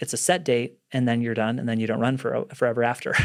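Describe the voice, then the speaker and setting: A man with a western US accent speaks at a very fast pace and medium pitch. The recording is very clean, with a silent background. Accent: western American. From Utah (Salt Lake City). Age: 40s. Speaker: entrepreneur. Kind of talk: podcast interview.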